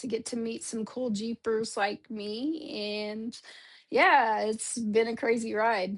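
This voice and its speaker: A woman speaks with an Oklahoma accent. Her pitch is fairly high, with ordinary variation. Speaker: off-road industry event coordinator. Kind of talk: interview.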